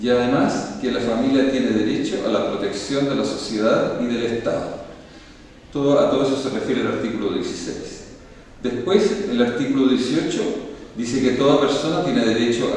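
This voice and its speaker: A man's voice comes through at a medium tempo, his pitch rising and falling normally, with clear background noise and some room reverberation. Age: 60s. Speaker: school principal. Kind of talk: formal presentation. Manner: formal; halting.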